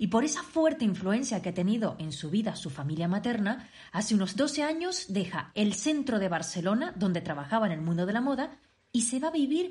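Somewhat breathy, a woman with a medium pitch speaks at a moderate pace, her pitch swinging very widely. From Canary Islands, Tenerife. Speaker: podcast host. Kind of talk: scripted intro; interview.

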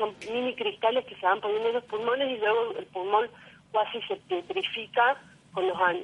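A woman with an ordinary speaking voice talks at a moderate pace, her fairly high pitch carried by lively intonation. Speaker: neighborhood activist. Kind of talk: phone interview. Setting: phone call.

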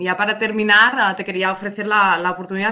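A woman with a Spanish accent speaks at a moderate pace and a medium pitch, with monotone, flat intonation over noticeable background noise. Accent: Peninsular Spanish. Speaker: radio host. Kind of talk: interview.

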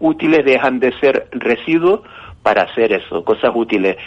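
This man speaks at a fairly slow pace with a fairly high pitch. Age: 60s. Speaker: retired chemistry teacher. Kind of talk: interview. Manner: halting.

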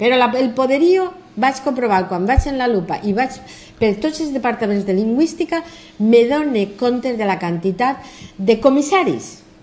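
The speech has lively intonation and a fairly slow pace, with noticeable background noise. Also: woman, high pitch for a woman. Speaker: English professor and philologist. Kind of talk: TV interview. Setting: TV studio.

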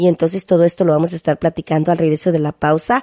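The sound is close and dry, without any echo. A woman talks in a dark, mellow tone. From Mexico, Veracruz. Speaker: radio host. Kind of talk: radio interview.

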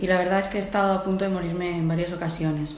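Audible room echo and noticeable background noise around a woman speaking at a medium pitch. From Portugal. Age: 30s. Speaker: homeless person. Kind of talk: testimony. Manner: halting.

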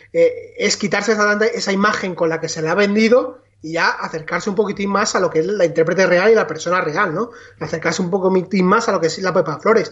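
Against noticeable background noise, a man talks in a high pitch with fairly even intonation. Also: fairly quick pace. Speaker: film podcast co-host. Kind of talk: casual chat.

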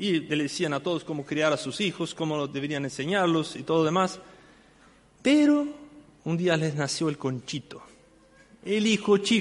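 Taking long, frequent pauses, a man with a fairly high pitch talks at a fairly slow pace with ordinary pitch variation. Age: 50s. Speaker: church deacon and Sunday school teacher. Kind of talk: sermon.

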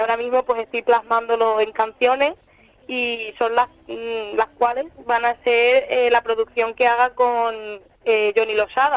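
Her intonation is monotone and flat, and this woman's pitch sits fairly high. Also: fairly slow pace. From Spain (Elda, Alicante). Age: young. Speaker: flamenco singer. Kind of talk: radio interview.

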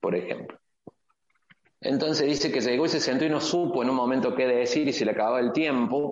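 A man's medium-pitched, ordinary speaking voice at a fairly quick pace, with ordinary pitch variation and very even loudness. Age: 50s. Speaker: entrepreneur. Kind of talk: interview.

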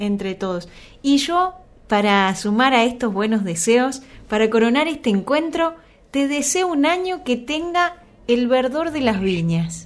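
The speaker is a woman with a high voice. Her pitch rises and falls very widely. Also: fairly slow pace. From Argentina, Santa Fe province. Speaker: radio host. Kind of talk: radio interview.

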